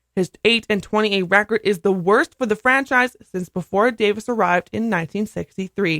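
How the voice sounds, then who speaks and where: This woman has a normal speaking voice at a medium pitch, with ordinary pitch variation and a fairly quick pace. The sound is dry and close, with no echo. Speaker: radio news and sports anchor. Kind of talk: radio sports news read.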